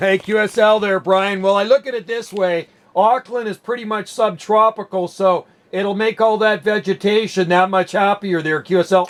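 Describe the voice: At a moderate pace and with few pauses, a man speaks in a high pitch with fairly even intonation.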